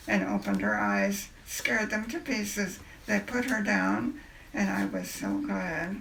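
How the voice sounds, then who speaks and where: Speech comes at a fairly slow pace, with audible room echo and noticeable background noise. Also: woman. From China, missionary family. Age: 80s+. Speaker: great-grandmother interviewed. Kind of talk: family interview, storytelling. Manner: halting, with false starts.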